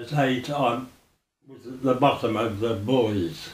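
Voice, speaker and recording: At a very slow pace, a man with a Birmingham accent speaks in a medium-pitched voice with ordinary pitch variation, and audible room echo surrounds him. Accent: Birmingham (Brummie). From Birmingham, Balsall Heath. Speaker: oral history interviewee. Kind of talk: oral history interview. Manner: halting.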